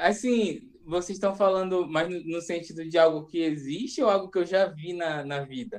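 A man with a high pitch speaks at a moderate pace with hardly any pauses and ordinary pitch variation. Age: 20s. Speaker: gastronomy graduate, hospital cook. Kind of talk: casual chat.

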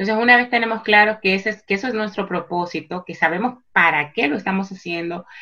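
The recording is very clean, with a silent background. A woman speaks in a bright, sharp tone. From Dominican Republic, Santo Domingo. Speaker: psychologist and life coach. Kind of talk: interview. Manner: halting, with repetitions and fillers.

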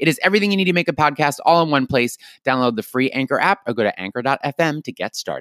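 A man's animated, fairly high voice at a very fast pace, lively in intonation, with a dry, close, echo-free sound on a very clean recording with a silent background. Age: 30s. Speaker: podcast host. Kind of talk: casual chat. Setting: home recording.

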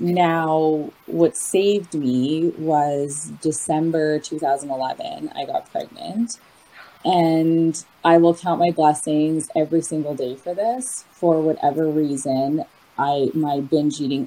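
Over noticeable background noise, a woman with a Canadian accent talks at a very slow pace, her very deep, low pitch showing ordinary variation. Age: 30s. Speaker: recovering binge eater sharing her story. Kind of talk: personal testimony in casual interview.

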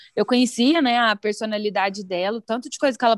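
A woman's ordinary speaking voice, fairly even in intonation and moderate in pace, with a dry, close sound and no echo. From Brazil, Araguari (Minas Gerais). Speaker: music marketing professional, former teacher. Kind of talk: podcast interview.

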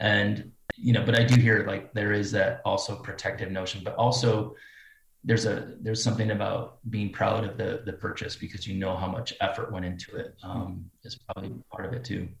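A man with an American accent talks at a fairly quick pace in a medium-pitched, somewhat breathy voice with monotone, flat intonation. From US Midwest, Cedar Rapids Iowa. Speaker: fashion designer. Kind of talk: interview.

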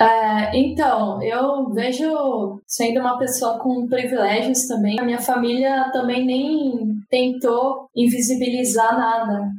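At a very slow pace, a woman speaks with a high pitch and fairly even intonation. She leaves hardly any pauses. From São Paulo city, Brazil. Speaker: UX designer. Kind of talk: casual chat.

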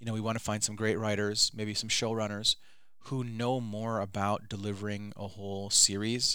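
A man's fairly low voice in a Midwestern American accent, bright and sharp in tone, on a very clean recording with a silent background. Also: moderate pace. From Michigan, Detroit suburbs. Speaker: filmmaker. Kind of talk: interview. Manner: animated.

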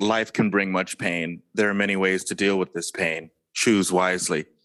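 At a moderate pace, a put-on character voice delivers its lines in a flat monotone. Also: man, very deep, low pitch for a man. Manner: mystic, solemn.

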